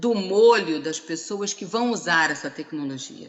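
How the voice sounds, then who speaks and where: A woman talks fairly slowly with lively intonation while noticeable background noise sits behind her. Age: 60s. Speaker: HR consultant. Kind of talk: conference talk. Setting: live-streamed seminar panel.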